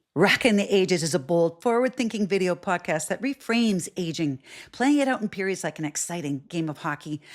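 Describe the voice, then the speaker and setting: On a very clean recording with a silent background, a woman with a plain, everyday voice speaks at medium pitch, fairly quickly, with lively intonation and hardly any pauses. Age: 60s. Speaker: podcast host. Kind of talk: podcast intro.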